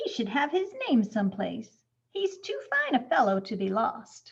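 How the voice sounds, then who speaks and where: A woman speaks at a moderate pace in a high-pitched, put-on character voice. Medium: read story. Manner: warm, enthusiastic.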